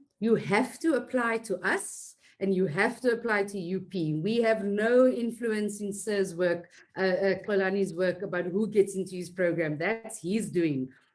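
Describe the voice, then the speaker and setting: Using a plain, everyday voice, a woman talks at a fairly slow pace in a medium pitch. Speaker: webinar host, teacher fellowship head. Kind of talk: online webinar presentation.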